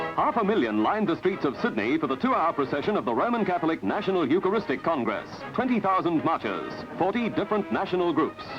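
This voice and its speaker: Music plays behind a man talking at a very fast pace. His high voice swings very widely in pitch. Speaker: newsreel narrator. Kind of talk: newsreel narration.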